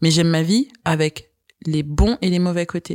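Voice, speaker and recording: A woman's voice with fairly even intonation, in a dry, close sound with no echo. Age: 30s. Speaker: podcast guest. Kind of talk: interview, personal storytelling.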